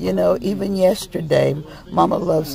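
With music playing in the background, a woman talks at a moderate pace. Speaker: grieving daughter speaking about her late mother. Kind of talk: casual talk to camera, live video message. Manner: emotional, reflective.

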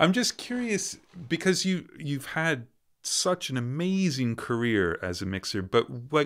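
Very wide pitch swings mark a man's speech at a fairly slow pace. The background is quiet. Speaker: interviewer. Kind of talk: casual interview. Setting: video call. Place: studio.

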